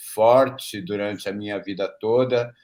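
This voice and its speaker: A man talks with fairly even intonation. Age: 60s. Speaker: theater cast member. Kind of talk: self-introduction.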